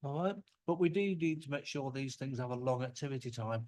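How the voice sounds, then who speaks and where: Speaking at a fairly quick pace, a man with a normal speaking voice keeps a medium pitch and fairly even intonation. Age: 60s. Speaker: microbiology researcher. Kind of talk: conference talk. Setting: workshop with audience.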